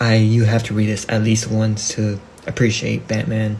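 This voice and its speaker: A man with a non-native accent talks at a medium pitch and a fairly slow pace, amid noticeable background noise. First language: not English. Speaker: amateur comic book YouTuber. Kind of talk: casual vlog talk. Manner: halting, many restarts and fillers.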